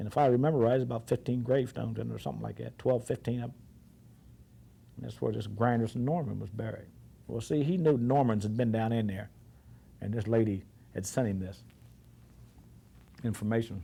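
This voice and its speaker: A dark, mellow, somewhat breathy voice runs at a very fast pace between long, frequent pauses, with ordinary pitch variation. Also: man, medium pitch for a man. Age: 60s. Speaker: oral history interviewee. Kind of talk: oral history interview. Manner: halting.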